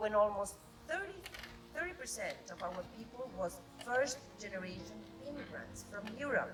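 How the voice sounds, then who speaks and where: A woman's fairly high voice with long, frequent pauses, audible room echo and noticeable background noise. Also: lively intonation, moderate pace. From Argentina. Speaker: ambassador. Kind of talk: formal ceremonial speech. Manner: formal.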